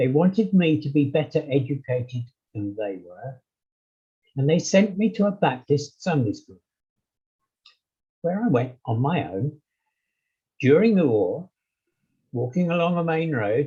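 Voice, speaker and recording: This man has a dark, mellow tone and a fairly high pitch, with an English accent and a somewhat breathy sound. He speaks at a fairly slow pace, with very wide pitch swings and long, frequent pauses. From England. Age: 80s+. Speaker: interview guest. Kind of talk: casual chat. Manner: halting, many fillers.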